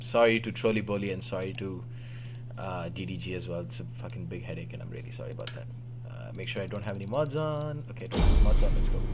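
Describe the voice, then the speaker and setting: With an Indian accent and a fairly low pitch, a man talks very fast, his pitch swinging very widely and his loudness in big swings, over noticeable background noise and audible room echo. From Oman, Indian family. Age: 20s. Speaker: gaming livestreamer and commentator. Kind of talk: live game commentary stream. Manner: flustered, rapid apologies.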